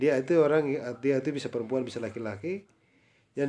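Here a man speaks in a dark, mellow tone. His pitch varies in an ordinary way. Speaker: English tutor. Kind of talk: private language lesson.

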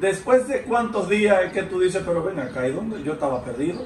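Amid light background noise and audible room echo, a man with a Dominican accent speaks at a moderate pace in a high pitch with lively intonation. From Dominican Republic. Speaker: interviewer. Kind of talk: interview. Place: home room.

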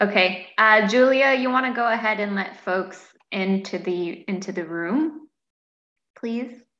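A woman's bright, sharp tone with audible room echo. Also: medium pitch for a woman, ordinary pitch variation, fairly slow pace. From Canada. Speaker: workshop moderator. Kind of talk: webinar hosting. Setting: video call. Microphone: webcam.

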